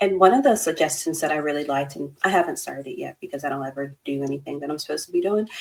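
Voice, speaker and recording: A woman's very fast delivery in a slight Texas accent, with hardly any pauses and big swings in loudness. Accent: slight Texas twang. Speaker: therapist, podcast co-host. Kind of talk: casual chat. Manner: chatty, many fillers.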